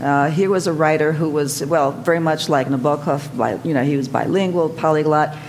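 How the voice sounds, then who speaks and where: Over noticeable background noise, a woman with a very deep, low pitch talks at a fairly quick pace with fairly even intonation, very even loudness and hardly any pauses. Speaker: translator and author. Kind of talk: panel discussion. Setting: stage with audience.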